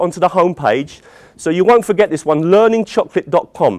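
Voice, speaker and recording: A man with a British accent speaks at a very fast pace. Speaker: teacher trainer. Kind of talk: conference presentation. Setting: conference hall with audience. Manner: animated.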